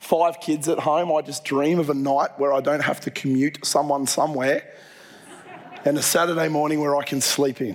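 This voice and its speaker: A man with an Australian accent speaks at a moderate pace in a fairly high pitch, his intonation monotone and flat. Noticeable background noise runs under his voice. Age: 40s. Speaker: pastor. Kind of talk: sermon.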